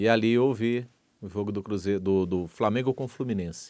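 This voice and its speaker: The man's voice is medium-pitched, with a dark, mellow tone and ordinary pitch variation. The recording is very clean, with a silent background. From Minas Gerais, Brazil. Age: 50s. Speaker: radio broadcaster. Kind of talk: interview testimony.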